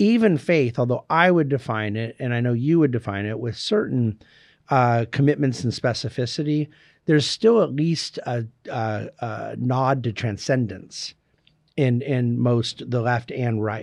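The speaker has an ordinary speaking voice and ordinary pitch variation. The pace is fairly slow, and the background is quiet. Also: man, medium pitch for a man. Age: 50s. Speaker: wealth management executive and author. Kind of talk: interview.

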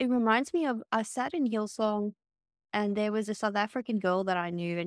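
Speaking fairly quickly at a medium pitch with ordinary pitch variation, a woman with an Australian accent is heard in a dry, close sound with no echo on a very clean recording with a silent background. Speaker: podcast co-host. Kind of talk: casual chat.

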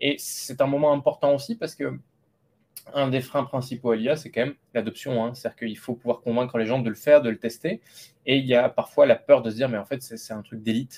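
At a fairly quick pace, a man talks at medium pitch with fairly even intonation. His loudness swings widely. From France, Lot. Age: 30s. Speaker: AI entrepreneur. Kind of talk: interview. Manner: hesitant, many repetitions.

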